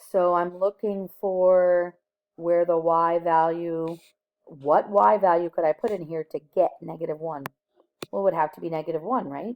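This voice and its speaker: In an ordinary speaking voice, a woman talks at a moderate pace with fairly low pitch, ordinary pitch variation and big swings in loudness. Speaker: high school math teacher. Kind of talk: recorded lesson. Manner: casual.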